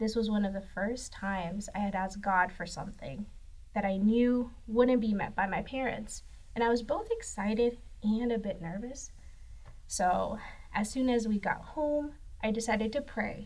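A woman talks at a fairly high pitch, her voice somewhat breathy. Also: ordinary pitch variation, moderate pace. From northern Mexico (Saltillo, Coahuila). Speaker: graphic designer. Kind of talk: faith testimony.

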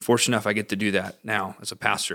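On a very clean recording with a silent background, a man with a Southern US accent talks at a very fast pace in a bright, sharp tone. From US South, Georgia (northwest Atlanta area). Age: 20s. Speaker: pastor. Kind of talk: casual chat.

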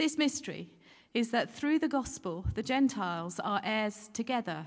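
A woman speaks with a plain, everyday voice. Her intonation is lively and her pace moderate. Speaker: scripture reader. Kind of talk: reading aloud. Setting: church.

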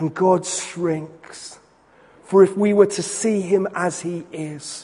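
A very slow, solemn male voice, high in pitch, with fairly even intonation. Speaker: preacher. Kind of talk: sermon. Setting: church. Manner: building rhythmic repetition, solemn and emphatic; warm, pastoral, conversational.

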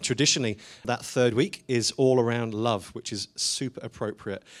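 A man speaks at a moderate pace in a plain, everyday voice. His pitch is medium, with ordinary variation. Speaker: church worship leader. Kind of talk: church service address and prayer. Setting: church.

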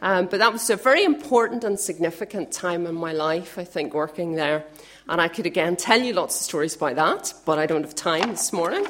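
A woman talks at a fairly quick pace in a fairly low voice with lively intonation. Noticeable background noise runs underneath. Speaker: youth worker making announcements. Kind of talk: church announcements.

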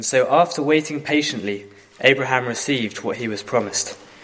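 A man talks at a moderate pace and medium pitch with ordinary pitch variation over noticeable background noise. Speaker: scripture reader. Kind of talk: reading aloud.

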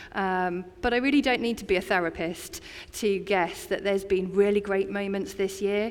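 A woman with an English accent, medium pitch and a moderate pace. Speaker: community chaplain. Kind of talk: sermon. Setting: church. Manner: conversational.

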